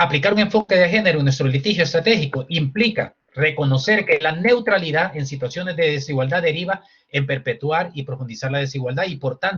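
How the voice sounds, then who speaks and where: Talking at a fairly quick pace, a man with a fairly high voice uses lively intonation. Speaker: human rights lawyer. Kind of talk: lecture. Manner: fast.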